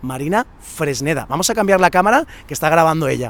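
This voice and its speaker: At a fairly quick pace, a man speaks with lively intonation and a fairly high pitch. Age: 30s. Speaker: summer camp coordinator. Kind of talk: casual video presentation. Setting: outdoors at a campsite. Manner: animated.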